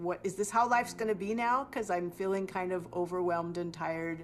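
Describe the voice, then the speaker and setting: Set at a moderate pace, a normal speaking voice carries ordinary pitch variation. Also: woman. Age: 60s. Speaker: mother running a mermaid party business. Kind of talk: documentary interview.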